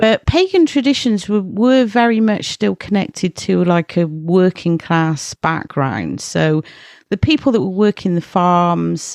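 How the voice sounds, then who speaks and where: Against a quiet background, a woman with an English accent speaks at a medium pitch and fairly slow pace, her loudness very even. Her intonation is lively, and the sound is dry and close with no echo. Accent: English rural. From rural England. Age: 40s. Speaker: horror journalist and editor. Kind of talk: casual chat.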